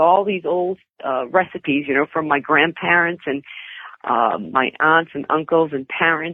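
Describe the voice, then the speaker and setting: Her pitch very deep and low, a woman with a Boston accent talks at a moderate pace with ordinary pitch variation. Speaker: cookbook author, interview guest.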